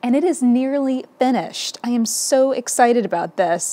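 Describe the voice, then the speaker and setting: A woman speaks at a high pitch. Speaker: podcast host, quilting teacher. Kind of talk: casual vlog chat. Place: home room.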